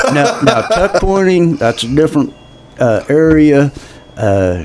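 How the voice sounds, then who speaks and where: A man with an American accent speaks at a fairly high pitch with very wide swings in pitch. Noticeable background noise runs behind him. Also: fairly slow pace. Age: 70s. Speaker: political candidate. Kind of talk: interview.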